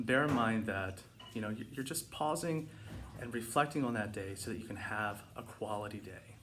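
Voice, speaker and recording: In audible room echo, a man's medium-pitched voice shows ordinary pitch variation. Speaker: meditation and mindfulness vlogger. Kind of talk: casual instructional talk. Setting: home living room. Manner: fast; hesitant with fillers.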